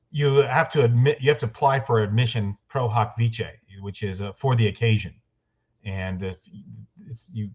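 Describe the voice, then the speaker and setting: A man speaks at a fairly quick pace with a fairly low pitch. His voice is somewhat breathy. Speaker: trial lawyer. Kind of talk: interview.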